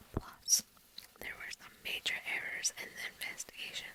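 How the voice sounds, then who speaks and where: Noticeable background noise sits beneath a whisper that moves at a moderate pace. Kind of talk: whispered true crime ASMR narration. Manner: soft-spoken, whispered.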